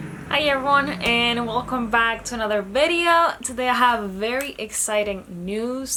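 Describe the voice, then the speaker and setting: A woman with a Spanish accent, fairly high pitch and ordinary pitch variation, over noticeable background noise. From Dominican Republic. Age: 20s. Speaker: vlogger. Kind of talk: casual vlog talk.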